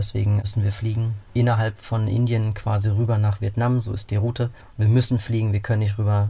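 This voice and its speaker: A man's fairly quick, fairly low-pitched voice, somewhat breathy, with a dark, mellow tone and monotone, flat intonation. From Berlin. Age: 30s. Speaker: cyclist adventurer, nurse and cook. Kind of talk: radio interview.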